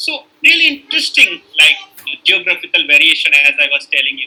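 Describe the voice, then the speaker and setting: Here is a man speaking with a North Indian accent. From northern India. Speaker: university lecturer in linguistics. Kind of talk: lecture. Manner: hesitant, many fillers.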